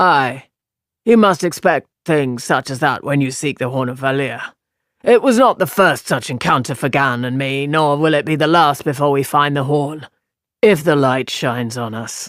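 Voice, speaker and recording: A man does a put-on character voice at a fairly high pitch for a man, moving at a moderate pace. The recording is very clean, with a silent background. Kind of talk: formal, archaic phrasing. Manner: elaborately casual.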